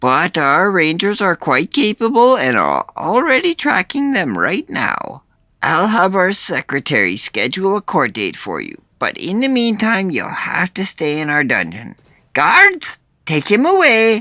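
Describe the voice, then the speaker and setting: A man adopts a put-on character voice, pitched high and delivered at a moderate pace. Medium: read story. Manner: polite, officious.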